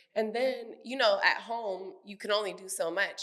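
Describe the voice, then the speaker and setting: Audible room echo surrounds the voice. A woman is speaking. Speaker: podcast co-host. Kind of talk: casual chat. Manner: gets loud when excited.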